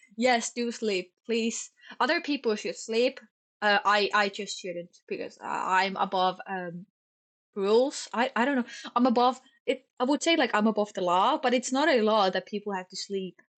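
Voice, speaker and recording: A woman with a Finnish accent speaks at a moderate pace, her fairly high pitch showing ordinary variation. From Finland. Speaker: streamer. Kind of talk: casual chat. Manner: stumbles over words.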